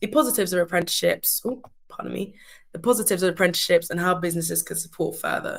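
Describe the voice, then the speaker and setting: A woman speaks with a southern English accent. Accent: sounds very British, southern English. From UK, Surrey (immigrant family). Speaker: award-winning apprentice. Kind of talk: webinar presentation.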